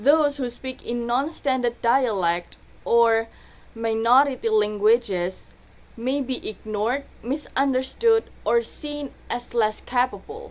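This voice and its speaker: At a very slow pace, a woman talks in a high pitch with ordinary pitch variation. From Indonesia, Surabaya (East Java). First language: Indonesian/Javanese. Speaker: university student. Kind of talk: student presentation. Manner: casual, conversational.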